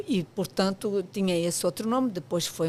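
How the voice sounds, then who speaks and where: A woman's medium-pitched voice with lively intonation, at a moderate pace. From Portugal. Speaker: architect, professional association president. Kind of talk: podcast interview. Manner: hesitant fillers, frequent 'portanto'.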